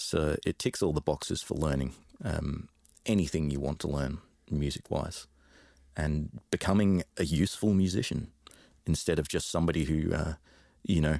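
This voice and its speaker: A dark, mellow tone with vocal fry comes at a moderate pace with ordinary pitch variation and long, frequent pauses. The sound is dry and close with no echo. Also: man, very deep, low pitch for a man. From London, England. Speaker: musician and music teacher. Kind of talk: casual interview chat.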